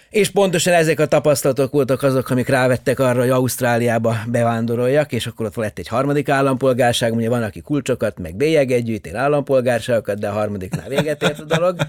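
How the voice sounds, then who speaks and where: Speaking very fast with hardly any pauses, a man talks at medium pitch in a dry, close sound with no echo. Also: ordinary pitch variation. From Yugoslavia (Subotica, Vojvodina Hungarian). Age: 50s. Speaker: astronomer. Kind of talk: interview.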